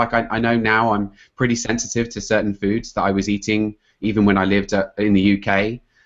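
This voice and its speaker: A man with a British accent speaks at a fairly quick pace in a fairly low pitch, against a quiet background. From England. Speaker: health coach and computer scientist. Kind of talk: podcast interview.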